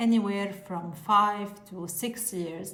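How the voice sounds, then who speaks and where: A woman with a non-native accent speaks at a fairly high pitch with ordinary pitch variation, heard through audible room echo and noticeable background noise. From Lebanon. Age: 40s. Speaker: pharmacist and content creator. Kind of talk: informational talk to camera.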